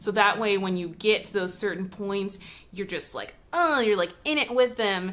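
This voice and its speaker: The delivery has an animated tone at a moderate pace. Pitch variation is ordinary, while loudness swings widely. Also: woman, medium pitch for a woman. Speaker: movie reviewer. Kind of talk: casual vlog review.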